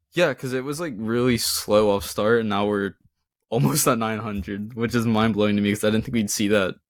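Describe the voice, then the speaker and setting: At a fairly quick pace, a man with fairly low pitch and ordinary pitch variation talks in an unremarkable speaking voice on a very clean recording with a silent background. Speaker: podcast co-host. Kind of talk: casual chat.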